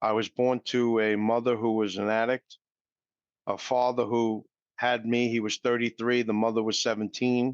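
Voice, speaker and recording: Speaking in a New York accent, a man of medium pitch keeps a moderate pace, monotone, flat intonation and very even loudness. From New York City. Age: 60s. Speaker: recovery speaker, mortgage professional. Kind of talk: interview.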